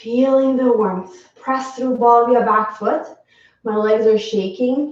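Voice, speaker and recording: Heard with audible room echo, a woman with a non-native accent speaks very slowly at a high pitch with fairly even intonation. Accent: foreign. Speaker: yoga teacher. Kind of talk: guided yoga class. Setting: home live stream.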